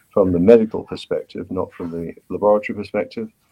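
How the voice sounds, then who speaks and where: A man speaks with a British accent in a dark, mellow tone. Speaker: pathologist. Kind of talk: interview. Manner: animated.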